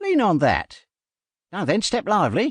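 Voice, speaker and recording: A man puts on a high-pitched character voice. He speaks at a moderate pace against a quiet background. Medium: audio drama. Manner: brisk, cheerful.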